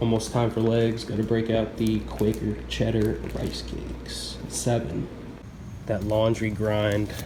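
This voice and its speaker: Someone speaks at a fairly slow pace with audible room echo and noticeable background noise. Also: man. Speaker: fitness vlogger. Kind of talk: vlog voiceover. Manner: casual, filler-heavy.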